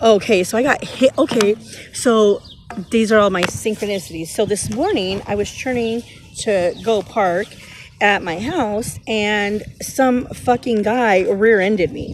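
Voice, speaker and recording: A fairly high-pitched woman's voice with ordinary pitch variation amid noticeable background noise. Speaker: tarot reader. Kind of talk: casual tarot reading vlog. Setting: outdoors in a park. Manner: loud; animated.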